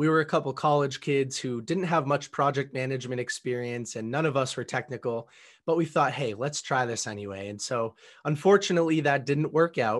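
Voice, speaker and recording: With a plain, everyday voice, a man talks at a fairly quick pace and a fairly high pitch, his pitch varying in an ordinary way over a quiet background. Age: 20s. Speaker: entrepreneur and podcast host. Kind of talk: interview.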